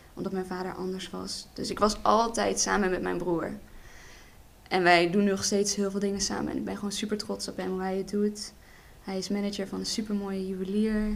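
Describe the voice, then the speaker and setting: A woman at medium pitch, monotone and flat, at a fairly quick pace, with audible room echo. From Netherlands. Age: 20s. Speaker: hairdressing student and model. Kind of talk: casual chat.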